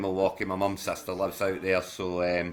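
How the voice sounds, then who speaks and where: Here a man with a Glasgow accent talks at a fairly quick pace. His voice sits fairly low, with a bright, sharp tone. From Scotland, Glasgow. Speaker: fantasy football league manager. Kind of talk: casual chat. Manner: halting, many restarts.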